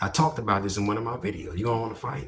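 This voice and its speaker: A man speaks with a fairly low pitch. His voice is somewhat breathy. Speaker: video commentator. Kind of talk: monologue commentary. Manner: animated.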